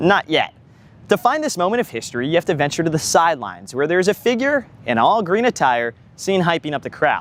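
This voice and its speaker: Speech comes at a fairly quick pace. Its pitch rises and falls very widely. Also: man. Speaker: student broadcaster. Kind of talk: news reporter package narration.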